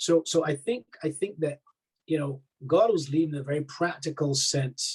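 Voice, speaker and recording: A man talks at a moderate pace with a Barbadian accent. His voice is somewhat breathy. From Barbados. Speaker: army chaplain. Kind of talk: interview. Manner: halting, many repetitions.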